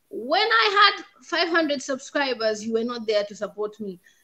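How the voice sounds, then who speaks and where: A woman uses a raised, projected voice with a bright, sharp tone. The background is quiet. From Zambia. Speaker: YouTube content creator; guest. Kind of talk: casual chat. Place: home room. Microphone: video call.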